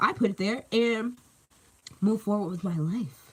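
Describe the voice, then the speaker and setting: A woman speaks in an animated tone. Her voice is somewhat breathy. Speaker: tarot reader. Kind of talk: live tarot reading. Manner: casual, animated.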